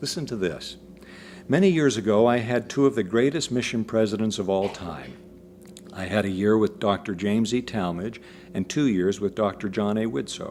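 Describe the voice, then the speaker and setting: Lively in intonation, a man with an unremarkable speaking voice talks at a moderate pace and a fairly low pitch. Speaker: lecturer, broadcaster and public speaker on a historical figure. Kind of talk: lecture.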